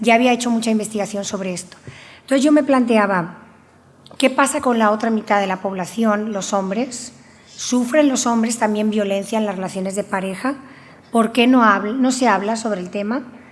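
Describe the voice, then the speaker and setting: Audible room echo surrounds a woman's fairly high-pitched voice. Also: ordinary pitch variation, moderate pace. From Spain, Valencia region (Alcoy, Alicante). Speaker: researcher and university professor. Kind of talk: conference talk. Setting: conference with audience.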